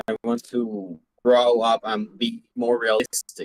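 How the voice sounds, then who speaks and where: A man speaks at a medium pitch in a Spanish accent. The sound is dry and close, with no echo. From Venezuela. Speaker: student screenwriter. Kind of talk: class introduction. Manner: halting, repeats words.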